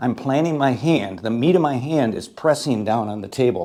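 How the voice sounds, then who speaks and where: Lively in intonation, a man speaks at a medium pitch with a dark, mellow tone. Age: 60s. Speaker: pool instructor. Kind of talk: tutorial. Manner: casual, conversational.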